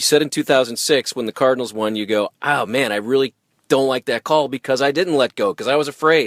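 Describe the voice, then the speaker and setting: The recording is dry and close, with no echo. A man at medium pitch speaks at a fairly quick pace with ordinary pitch variation. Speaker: podcast host. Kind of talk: interview questions. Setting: parked car. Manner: rambling, informal.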